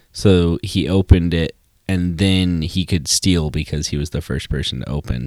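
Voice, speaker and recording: A man speaks in a very deep, low pitch with ordinary variation at a moderate pace. The sound is dry and close, with no echo. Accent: American. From US Midwest (Wisconsin). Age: 20s. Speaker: podcast co-host, college student. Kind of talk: casual chat.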